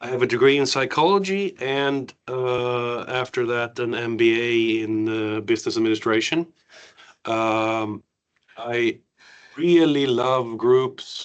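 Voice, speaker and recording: Very slowly, a man speaks with a Swedish accent. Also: medium pitch for a man, ordinary pitch variation. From Sweden, Värmland; partly raised in the US. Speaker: cultural trainer and IT project manager. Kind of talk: training session. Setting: room with audience and online participants.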